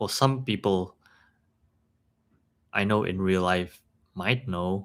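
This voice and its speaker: Delivery comes at a very slow pace. The intonation is fairly even. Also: man. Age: 30s. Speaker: streamer. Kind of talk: casual chat. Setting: live stream. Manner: halting.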